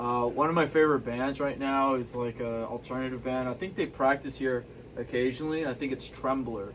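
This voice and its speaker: At a fairly quick pace, a man with a medium pitch and ordinary pitch variation speaks over noticeable background noise. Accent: American. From Texas, Houston. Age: 20s. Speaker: local musician. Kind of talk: casual chat. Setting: studio.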